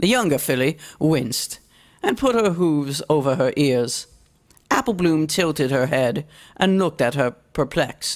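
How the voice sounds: A woman's low-pitched voice, fairly slow in pace, with lively intonation.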